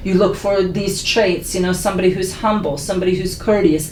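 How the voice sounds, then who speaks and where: Against noticeable background noise and audible room echo, a woman with an American accent speaks fairly quickly at a medium pitch in a flat, monotone way. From Philadelphia (West Philly). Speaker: podcast panelist. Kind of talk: casual chat. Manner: soft-spoken.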